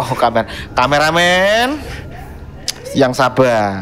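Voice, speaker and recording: Very slow speech from a man, with noticeable noise in the background. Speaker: podcast host. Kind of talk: horror story reading on a podcast. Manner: casual, joking.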